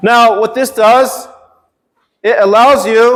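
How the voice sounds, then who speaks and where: Using fairly even intonation, the man speaks at an extremely high pitch. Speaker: workshop presenter, teacher. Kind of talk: workshop presentation. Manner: teacher voice, projected.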